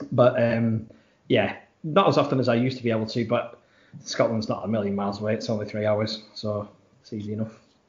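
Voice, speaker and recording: A man's very fast speech with a Lancashire accent, medium pitch and fairly even intonation. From Blackburn, Lancashire. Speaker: football fan. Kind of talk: casual interview.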